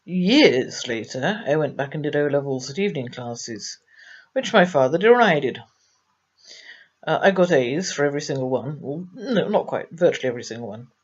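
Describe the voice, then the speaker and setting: Her pitch very deep and low, a woman with an English accent speaks with very wide pitch swings. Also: moderate pace, big swings in loudness. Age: 60s. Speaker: abuse survivor. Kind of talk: testimony. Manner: halting.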